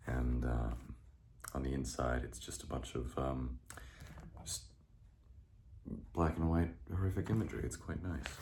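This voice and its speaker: With vocal fry and a dark, mellow tone, a man speaks in a very deep, low voice at a fairly slow pace, using ordinary pitch variation and long, frequent pauses. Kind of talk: casual talk to camera. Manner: soft-spoken.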